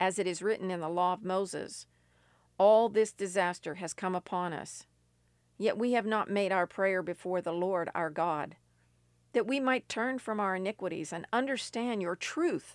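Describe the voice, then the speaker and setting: A woman speaks at medium pitch with an American accent and an intense, solemn tone. Her pace is moderate and her pitch varies in an ordinary way. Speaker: radio preacher. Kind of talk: fervent prayer; sermon/teaching. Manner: intense, impassioned; solemn, earnest pleading.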